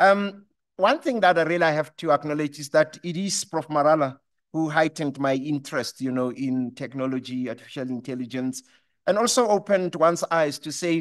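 A man at a fairly quick pace, ordinary pitch variation, and a quiet background. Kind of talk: formal speech. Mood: warm, appreciative. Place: hall. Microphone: podium.

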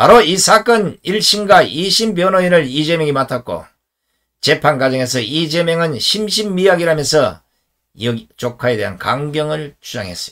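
Against a quiet background, a man talks at a fairly slow pace. His intonation is lively. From rural South Korea. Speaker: political commentator, former journalist. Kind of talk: political commentary monologue. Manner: formal. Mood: indignant, critical. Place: home room.

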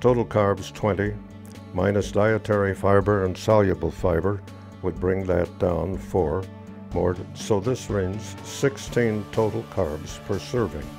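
The speaker moves at a fairly slow pace with ordinary pitch variation. Clear music plays in the background. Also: man, very deep, low pitch for a man. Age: 80s+. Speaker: elderly man sharing his diabetes routine. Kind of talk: casual talk to camera. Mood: calm, matter-of-fact. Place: home room. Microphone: lapel.

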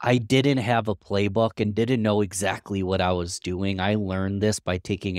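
Against a quiet background with dry sound and no echo, a man speaks at a moderate pace with fairly low pitch, fairly even intonation and an unremarkable speaking voice. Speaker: podcast guest. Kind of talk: interview answer. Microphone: headset.

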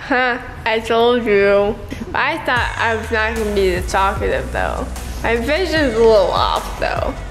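Over clear background music, a woman talks at a fairly slow pace. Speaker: vlogger after surgery. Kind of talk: casual vlog chat. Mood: groggy, loopy, giggly. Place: home room.

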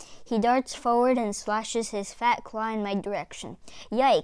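This natural reading voice holds a fairly even intonation throughout.

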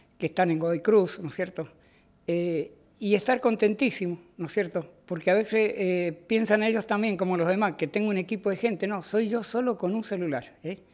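A high-pitched man at a moderate pace, with ordinary pitch variation. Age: 60s. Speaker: community citizen reporter. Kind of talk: interview testimony. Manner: hesitant, many fillers.

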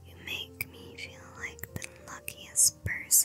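Whispering over music in the background. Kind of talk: ASMR flirting compliments. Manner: whispered.

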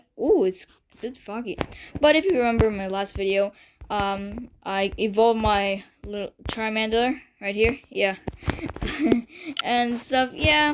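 Noticeable background noise behind a woman's fairly slow delivery. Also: ordinary pitch variation. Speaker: gaming channel host. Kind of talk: casual gameplay commentary.

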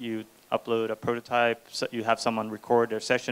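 A man at a moderate pace, with a Swedish accent. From Sweden. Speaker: startup co-founder and CTO; speaker. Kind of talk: talk to audience. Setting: stage with audience. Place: hall. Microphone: handheld.

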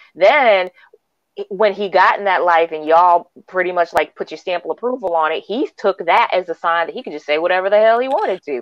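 At a fairly quick pace, a woman with an unremarkable speaking voice and an American accent talks in a medium pitch with ordinary variation. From US Northeast. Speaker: livestream show co-host. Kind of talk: casual chat.

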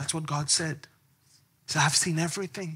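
The tone of this man's voice is bright and sharp. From Israel (Jerusalem). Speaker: Bible teacher. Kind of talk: sermon. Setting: stage with audience. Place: stage. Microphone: podium.

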